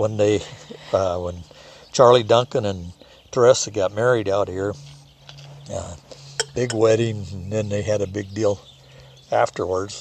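Speaking at a fairly slow pace with long, frequent pauses, a man uses a fairly low pitch and fairly even intonation over noticeable background noise. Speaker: Marine veteran. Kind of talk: storytelling. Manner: halting.

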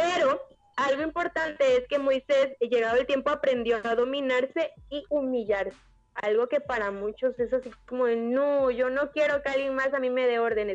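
With a high pitch and ordinary pitch variation, a woman speaks at a moderate pace. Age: 20s. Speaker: church youth leader. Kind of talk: casual chat.

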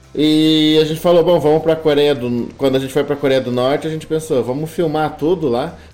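Speaking at a fairly quick pace with hardly any pauses, a man uses a fairly high pitch and fairly even intonation. Background noise is noticeable throughout. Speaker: travel YouTuber. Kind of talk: casual interview.

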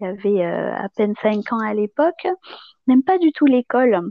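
A woman speaks in a calm tone, fairly high in pitch. Her tone is dark and mellow. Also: dry, close sound with no echo. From Madagascar. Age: 30s. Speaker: podcast guest. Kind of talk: personal testimony.

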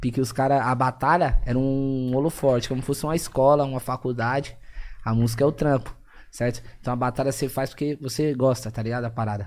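A man's medium-pitched voice carries a dark, mellow tone and fairly even intonation. The recording is very clean, with a silent background. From Zona Leste, São Paulo. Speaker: rapper and former train street vendor. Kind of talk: casual interview chat.

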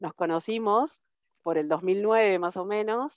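A woman is talking. The rise and fall of her pitch is ordinary. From Argentina, Río Tercero, Córdoba province. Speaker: IT systems manager. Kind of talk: interview. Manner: halting, many repetitions and fillers.

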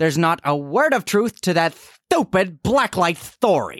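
A man puts on a cartoonish character voice with fairly high pitch and big pitch swings. He talks at a fairly slow pace in a fairly bright tone.

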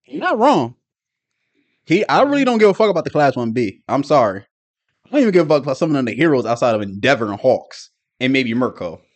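A loud, animated man at a fairly high pitch, very fast pace and very wide pitch swings, with long, frequent pauses. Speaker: anime podcast co-host. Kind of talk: casual chat. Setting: video call.

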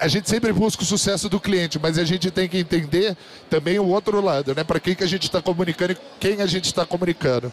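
Over noticeable background noise, a man with a high pitch talks at a very fast pace, his loudness very even and his pitch variation ordinary. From Brazil, São José dos Campos, interior of São Paulo. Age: 30s. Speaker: podcast host and conference speaker. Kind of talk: live talk to an audience. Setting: stage with audience. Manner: animated.

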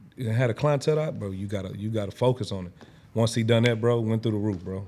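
A man with an American accent, medium pitch, ordinary pitch variation and very fast pace. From Houston, Fifth Ward, Texas. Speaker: barber. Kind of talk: casual chat.

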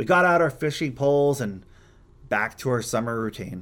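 A man's unremarkable speaking voice, medium in pitch, with an American accent and a moderate pace. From Montana. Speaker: radio host, amateur dinosaur hunter. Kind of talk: scripted storytelling monologue.

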